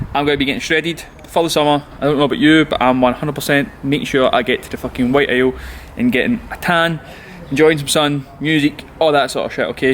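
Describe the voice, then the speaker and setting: Over noticeable background noise, a man with a strong Scottish accent talks at a very fast pace, his pitch fairly high with ordinary variation. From Scotland, Glasgow. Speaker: personal trainer. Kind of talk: casual vlog tutorial. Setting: outdoors, then indoors. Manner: casual, animated.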